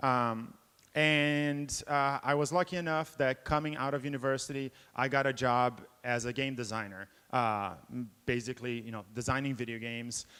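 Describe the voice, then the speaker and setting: Bright and sharp in tone, a man talks at a moderate pace with ordinary pitch variation. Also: medium pitch for a man, very clean recording, silent background. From Brazil until 12, then Boston, US. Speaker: game developer and professor. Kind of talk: conference talk. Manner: many filler 'uh's.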